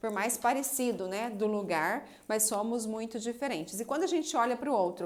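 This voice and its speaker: This woman has an unremarkable speaking voice, pitched fairly high. She talks at a moderate pace with ordinary pitch variation. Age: 30s. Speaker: psychoanalyst and relationship coach. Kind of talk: live stream talk answering viewer comments. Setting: Instagram live video.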